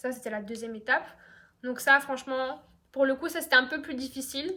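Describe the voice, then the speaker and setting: In a raised, projected voice, a woman speaks at a high pitch with a bright, sharp tone, ordinary pitch variation and big swings in loudness. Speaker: YouTuber. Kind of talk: storytime monologue. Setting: at home on couch. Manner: fast; casual, many fillers.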